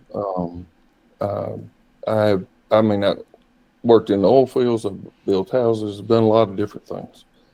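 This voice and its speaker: A man with a Southern US accent speaks at a moderate pace in a fairly low pitch with a dark, mellow tone and fairly even intonation. His loudness swings widely, and he takes long, frequent pauses. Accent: country Southern. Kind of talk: interview. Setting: video call.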